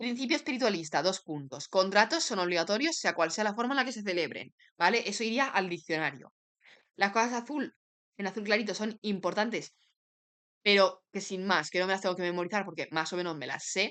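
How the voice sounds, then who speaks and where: Against a quiet background, a woman with a bright, sharp tone and lively intonation speaks at a medium pitch and fairly quick pace. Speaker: law student making study videos. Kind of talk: study summary tutorial.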